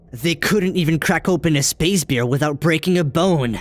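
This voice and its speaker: A cartoonish character voice at a middle pitch, delivered at a moderate pace. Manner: stubborn, proud.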